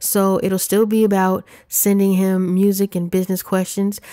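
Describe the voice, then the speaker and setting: At a fairly slow pace, a woman speaks with a dark, mellow tone at a medium pitch. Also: very clean recording, silent background. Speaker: podcast host. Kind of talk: casual podcast talk. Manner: halting. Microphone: condenser studio mic through preamps.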